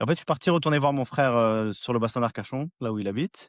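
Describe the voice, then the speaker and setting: An ordinary speaking voice, a man's at medium pitch, with lively intonation, a quiet background and a dry, close sound with no echo. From Brittany, Rennes. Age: 40s. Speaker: fishing youtuber. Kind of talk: interview.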